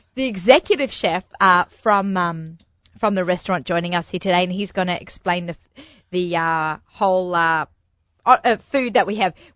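The speaker is a woman. She has an Australian accent. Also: dry, close sound with no echo.

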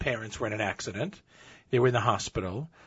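A man's voice comes through somewhat breathy. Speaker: relative of the story subject. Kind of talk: storytelling interview.

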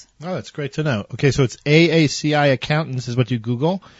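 A somewhat breathy man with an American accent, at a fairly quick pace and with ordinary pitch variation. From US, Baltimore. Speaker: radio show host and rabbi. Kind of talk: radio interview and announcements.

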